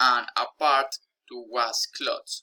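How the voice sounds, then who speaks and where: In a Spanish accent, a man speaks very slowly with a bright, sharp tone, the sound dry and close with no echo. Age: 20s. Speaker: language learner. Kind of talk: reading aloud.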